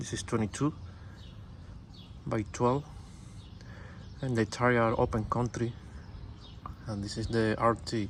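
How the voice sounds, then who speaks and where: In a Cuban accent, a man speaks at a medium pitch with monotone, flat intonation and a fairly slow pace. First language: Spanish. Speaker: truck owner vlogger. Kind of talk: casual walkaround show-and-tell. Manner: halting, many fillers.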